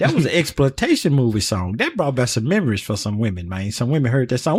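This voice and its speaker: Fairly quick, somewhat breathy speech from a man. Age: 60s. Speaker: podcast host. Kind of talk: casual chat. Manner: animated.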